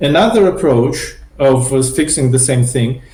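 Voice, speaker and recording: A man's somewhat breathy, medium-pitched voice with a non-native accent, fairly slow, with audible room echo. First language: not English. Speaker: software developer, spec proposal author. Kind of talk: technical interview. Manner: halting, many repetitions and fillers.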